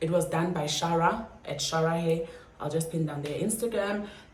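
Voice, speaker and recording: A woman at a fairly low pitch, fairly even intonation, audible room echo and noticeable background noise. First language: Xhosa or another South African language. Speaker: YouTuber. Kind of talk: storytime vlog. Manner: casual, chatty.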